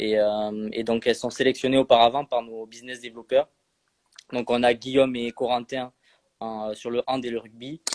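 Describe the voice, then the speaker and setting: A man at a moderate pace, monotone and flat, with big swings in loudness and a dry, close sound with no echo. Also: medium pitch for a man. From southwest France, Landes. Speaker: social media manager for a sports video app. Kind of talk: live stream interview. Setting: online live stream. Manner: hesitant, many fillers.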